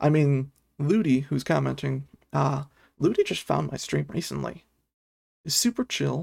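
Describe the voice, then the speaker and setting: Moderate pace with long, frequent pauses. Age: 20s. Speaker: livestreamer. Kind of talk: live stream chat with viewers. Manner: casual, filler-heavy.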